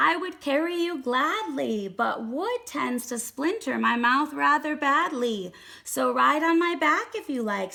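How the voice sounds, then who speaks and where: Using a put-on character voice, a woman speaks high and fairly slowly with hardly any pauses. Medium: read story. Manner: kind, gentle.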